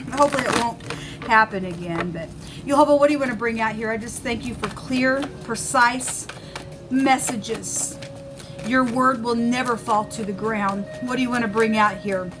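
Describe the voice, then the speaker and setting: A woman speaks at a moderate pace with a fairly high pitch and ordinary pitch variation. Music plays in the background, and the room echo is audible. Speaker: tarot reader. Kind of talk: tarot reading. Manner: halting.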